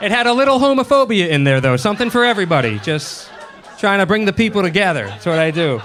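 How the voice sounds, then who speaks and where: Against crowd noise, a man with an American accent talks very fast in a high voice with very wide pitch swings. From Boston, US. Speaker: comedian. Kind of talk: stand-up. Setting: stage with audience. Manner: animated.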